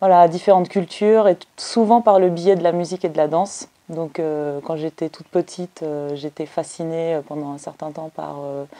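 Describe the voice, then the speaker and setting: The voice has a dark, mellow tone and fairly even intonation. It moves at a moderate pace with big swings in loudness. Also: woman, fairly low pitch for a woman, hardly any pauses. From Belgium. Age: 30s. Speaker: anthropologist. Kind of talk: interview. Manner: hesitant, many fillers.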